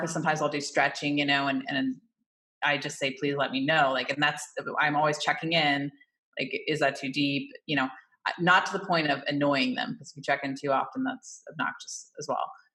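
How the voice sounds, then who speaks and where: A woman with an American accent talks at a fairly quick pace in a very deep, low voice. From Oregon, US. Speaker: massage therapist. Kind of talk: casual interview conversation.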